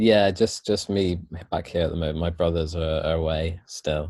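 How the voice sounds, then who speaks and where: This man has a very deep, low pitch and a somewhat breathy voice. He talks at a moderate pace in a monotone, flat intonation. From Wales. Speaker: yoga and meditation teacher. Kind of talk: casual interview chat.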